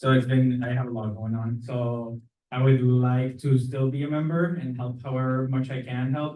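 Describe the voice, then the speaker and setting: With a Spanish accent, a man of medium pitch talks at a moderate pace in monotone, flat intonation, with audible room echo. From Mexico. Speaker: neighborhood association board member. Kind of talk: candidate speech at community meeting.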